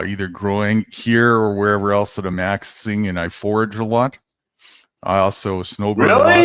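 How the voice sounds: A booming, fairly low male voice at a moderate pace with monotone, flat intonation.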